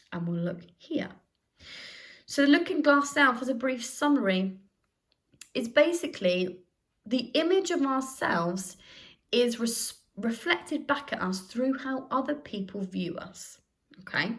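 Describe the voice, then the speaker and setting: Loud and high-pitched, a woman talks at a fairly slow pace with very wide pitch swings. She leaves long, frequent pauses. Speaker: sociology teacher. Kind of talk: recorded lesson. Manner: conversational.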